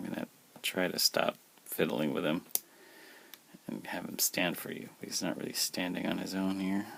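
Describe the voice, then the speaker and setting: This man's intonation is fairly even, and his pace is moderate. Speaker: toy collector, unboxing video host. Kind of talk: casual unboxing review. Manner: monotone.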